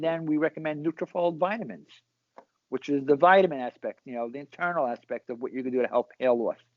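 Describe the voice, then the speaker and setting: A man with a New York accent talks at a very fast pace in a fairly high pitch. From Brooklyn, New York. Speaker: salon owner and hairstylist. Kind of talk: casual interview.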